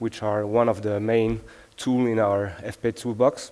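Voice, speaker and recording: A man with a French accent at a medium pitch and a fairly slow pace. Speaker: software engineer, conference speaker. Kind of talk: conference talk. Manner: hesitant, many filler sounds.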